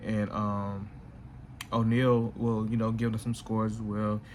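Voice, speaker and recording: A man of medium pitch speaks at a moderate pace with monotone, flat intonation. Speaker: sports betting picks youtuber. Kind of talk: casual sports betting analysis. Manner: casual, halting with fillers.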